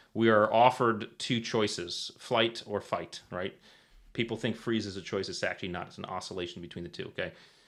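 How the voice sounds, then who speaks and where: A man's medium-pitched voice with a slight Connecticut accent. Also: ordinary pitch variation, big swings in loudness. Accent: slight Eastern US (Connecticut). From Connecticut, US Northeast. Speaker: retired Navy SEAL, performance author. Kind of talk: podcast interview, explanatory. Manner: animated, frequent 'right?' tags.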